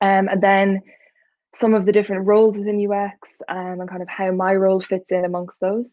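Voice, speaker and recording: A woman speaks at a fairly quick pace with an Irish accent. Her medium-pitched voice stays flat and monotone. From Ireland. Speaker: UX researcher. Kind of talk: talk with slides. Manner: many filler ums.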